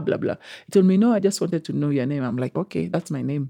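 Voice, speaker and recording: Speaking with a Kenyan accent, this voice moves at a very fast pace. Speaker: guest sharing life story. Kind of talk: personal testimony interview. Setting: studio.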